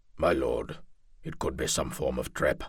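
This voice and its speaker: Using a put-on character voice, a man sounds raspy. His pace is moderate. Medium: read story. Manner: cautious, respectful.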